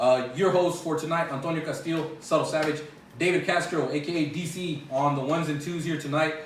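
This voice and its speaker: This man talks at a fairly quick pace with fairly high pitch and fairly even intonation, and the recording has audible room echo and noticeable background noise. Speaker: basketball podcast host. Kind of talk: casual sports podcast. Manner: loud.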